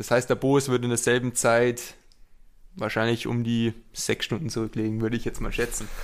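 In a very clean recording with a silent background, a man speaks with flat, monotone intonation. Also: medium pitch for a man, moderate pace. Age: 20s. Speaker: triathlete. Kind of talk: casual chat. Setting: training camp.

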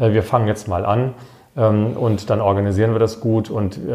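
This man has a fairly low pitch and a dark, mellow tone that is somewhat breathy. He talks at a fairly quick pace. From Baden-Württemberg, Germany (Wiesloch). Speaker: member of parliament and professor. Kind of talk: casual interview.

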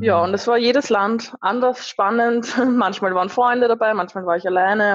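A woman with a normal speaking voice, medium in pitch, speaks at a moderate pace with ordinary pitch variation. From Austria, Lower Austria. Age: 20s. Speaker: van traveller. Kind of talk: interview.

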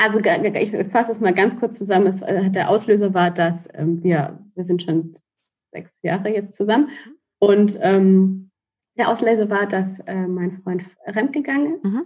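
A somewhat breathy woman speaks at a fairly slow pace. Her pitch is medium, with ordinary variation. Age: 30s. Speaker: relationship coach. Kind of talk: casual chat.

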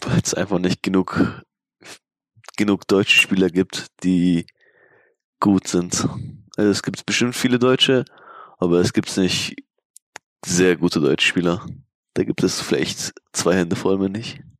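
A man with a very deep, low pitch, speaking at a fairly slow pace with long, frequent pauses, in a dry, close sound with no echo. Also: ordinary pitch variation. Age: 20s. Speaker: esports player. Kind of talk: casual interview.

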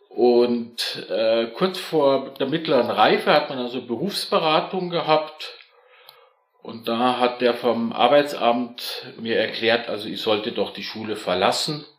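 A man's medium-pitched voice at a very slow pace, with ordinary pitch variation and audible room echo. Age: 50s. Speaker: corporate employee. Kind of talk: casual chat.

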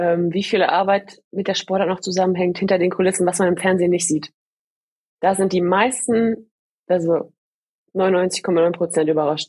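A woman's medium-pitched voice at a moderate pace, with fairly even intonation, very even loudness, and long, frequent pauses. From Ruhr area, Germany (Gladbeck). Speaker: bobsleigh athlete. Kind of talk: interview.

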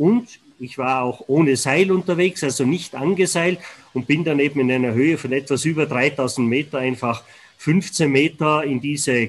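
Talking at a fairly slow pace, a man with an unremarkable speaking voice uses a fairly high pitch and ordinary pitch variation. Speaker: avalanche warning expert. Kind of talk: interview. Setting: remote connection.

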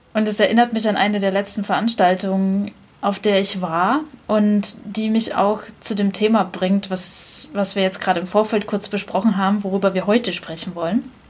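There is noticeable background noise as a woman speaks at a moderate pace with monotone, flat intonation. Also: medium pitch for a woman. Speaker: podcast host. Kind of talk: casual chat.

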